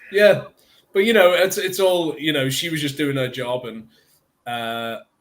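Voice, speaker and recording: In a British accent, a man with a fairly high voice speaks at a fairly slow pace with lively intonation. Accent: British accent, can drop it. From northern England, near Liverpool. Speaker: actor. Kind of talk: interview.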